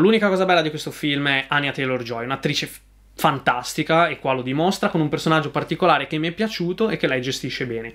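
A man talks at a fairly quick pace with ordinary pitch variation. His tone is bright and sharp against a quiet background. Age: 20s. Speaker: YouTube film reviewer. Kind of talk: film review monologue. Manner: hesitant, many fillers and repetitions. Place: home room.

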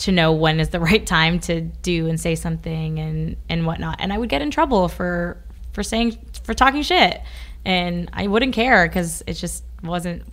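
Moderate pace in an American accent, with noticeable background noise. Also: woman. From Ashland, Kentucky. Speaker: music manager. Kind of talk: interview answer.

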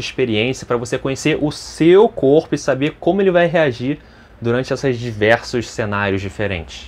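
The man speaks at a fairly quick pace. His intonation is lively. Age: 30s. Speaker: fitness youtuber. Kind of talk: casual vlog. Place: home room. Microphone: lapel.

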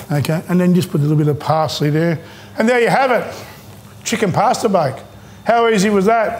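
A man with an Australian accent, high-pitched for a man, lively in intonation, fairly quick, with long, frequent pauses. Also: very even loudness. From Australia, Maltese background. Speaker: chef. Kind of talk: cooking tutorial. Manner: casual, halting with fillers. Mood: warm, chatty, encouraging. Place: kitchen. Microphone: lapel.

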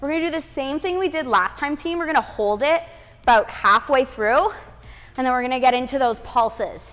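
A woman's high voice with lively intonation at a fairly quick pace. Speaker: fitness instructor. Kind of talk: workout instruction cues. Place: home room.

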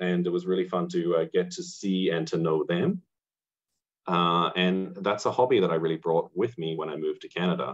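A man with an Australian accent at a moderate pace, against a quiet background. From rural Australia. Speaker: amateur entomologist; presenter. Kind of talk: lecture. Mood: enthusiastic, friendly. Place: home room. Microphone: webcam.

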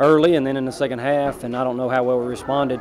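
Crowd noise fills the background while a man speaks at a very fast pace. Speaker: basketball head coach. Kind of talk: interview answer. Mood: frustrated after a loss. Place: hall. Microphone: handheld.

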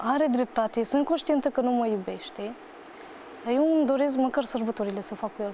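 A high-pitched woman talks at a fairly quick pace with ordinary pitch variation. The sound is dry with no echo, over light background noise. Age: 20s. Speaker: talk show guest telling personal story; talk show guest. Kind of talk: emotional testimony on TV talk show. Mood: distressed, heartbroken storytelling. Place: studio.

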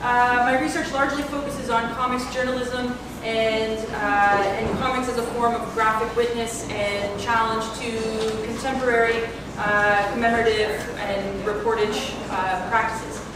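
Amid noticeable background noise and strong room echo, a woman speaks at a fairly slow pace. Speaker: panel moderator. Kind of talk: panel introduction. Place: hall. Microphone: camera far.

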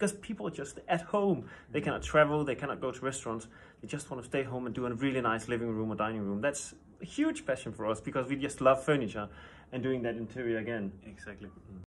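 With a Danish accent, a man speaks at a very fast pace and with lively intonation. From Denmark. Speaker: furniture designer. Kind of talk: interview. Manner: halting. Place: office. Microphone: phone near.

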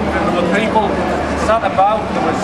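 Loud background noise with a man's voice. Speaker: street preacher. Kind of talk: street preaching. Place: street. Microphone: camera far.

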